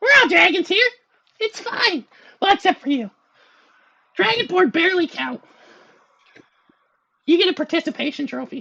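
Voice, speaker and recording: Putting on a character voice at an extremely high pitch, a man speaks at a moderate pace with long, frequent pauses. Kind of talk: fantasy roleplay. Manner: snide, sarcastic, mocking.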